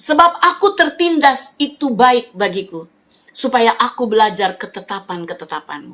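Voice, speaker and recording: The voice is animated and bright, sharp in tone, moving at a moderate pace with very wide pitch swings. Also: woman. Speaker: preacher. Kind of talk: sermon.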